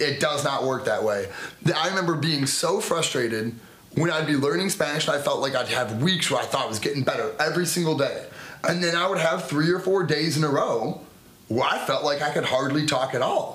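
With an American accent, the speaker talks at a fairly quick pace, with very even loudness and ordinary pitch variation, over noticeable background noise. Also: man, fairly high pitch for a man. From United States. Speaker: podcast co-host. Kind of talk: casual chat.

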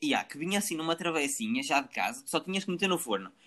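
Very fast and high-pitched, a man speaks with lively intonation and a bright, sharp tone on a very clean recording with a silent background. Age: 20s. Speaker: podcast host. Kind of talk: casual chat.

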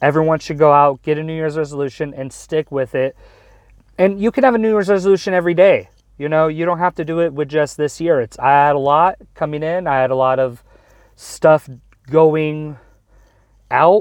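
Ordinary pitch variation and a moderate pace in a man's fairly high voice. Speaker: solo podcaster. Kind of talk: casual monologue. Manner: rambling, loose.

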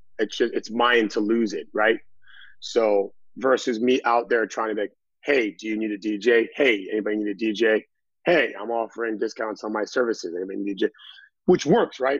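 An American accent carries the speech. Behind it, all is quiet. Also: man, medium pitch for a man, moderate pace. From Massachusetts, US. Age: 30s. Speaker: DJ and personal trainer. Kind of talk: casual chat. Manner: energetic.

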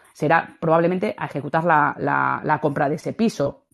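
A woman with a Spanish accent, fairly quick pace, quiet background. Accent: Peninsular Spanish. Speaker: audience participant. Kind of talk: casual chat. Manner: halting.

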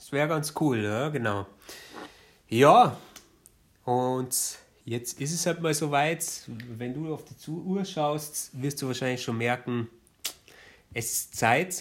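Very slow and broken by long, frequent pauses, a man's speech shows ordinary pitch variation and big swings in loudness. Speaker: podcast co-host. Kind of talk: casual chat. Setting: studio. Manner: animated.

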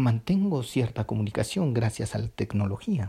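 Slightly breathy and dark, mellow in tone, a man at medium pitch speaks fairly slowly on a very clean recording with a silent background. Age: 20s. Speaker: student. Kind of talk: personal reflection monologue. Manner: hesitant, with filler sounds.

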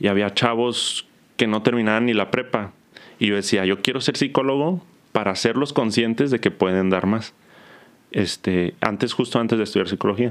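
An ordinary speaking voice proceeds at a moderate pace, with ordinary pitch variation and very even loudness. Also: man, medium pitch for a man. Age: 30s. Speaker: psychologist. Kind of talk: casual interview.

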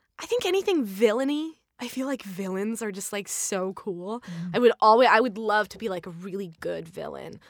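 An ordinary speaking voice from a woman with an American accent, medium in pitch with ordinary variation, at a moderate pace with hardly any pauses and big swings in loudness. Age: young. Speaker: voiceover actor and artist. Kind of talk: casual interview.

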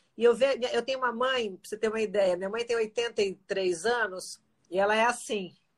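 A woman with a fairly high pitch speaks at a moderate pace in an ordinary speaking voice, her intonation fairly even but her loudness swinging widely. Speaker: former athlete turned health channel host. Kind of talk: casual interview chat.

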